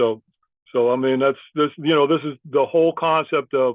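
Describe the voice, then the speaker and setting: The man's fairly high voice carries fairly even intonation. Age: 60s. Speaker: program alum and graduate student. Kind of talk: panel discussion.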